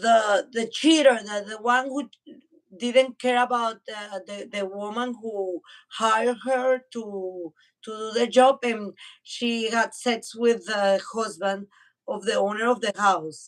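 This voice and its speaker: Speaking very slowly with a Spanish accent, a woman uses a fairly high pitch and fairly even intonation. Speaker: podcast co-host. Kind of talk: casual chat. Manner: halting, repeats words.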